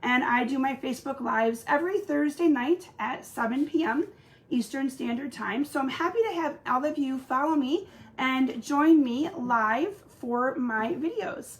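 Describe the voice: A woman speaks fairly slowly at a high pitch, with a slightly husky edge. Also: ordinary pitch variation.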